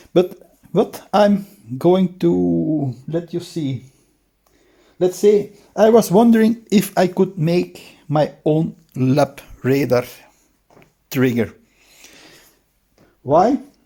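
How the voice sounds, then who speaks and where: A man with a non-native accent speaks at a very slow pace, leaving long, frequent pauses. His voice is high with a dark, mellow tone and lively intonation. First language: Dutch. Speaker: DIY hobbyist shooter. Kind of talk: tutorial. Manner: halting, with many fillers.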